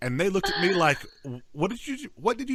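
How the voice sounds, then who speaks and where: Talking very fast in a slight Southern US accent, a man lets his pitch swing very widely. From North Georgia. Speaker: podcast co-host. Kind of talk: casual chat. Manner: halting, many repeated words.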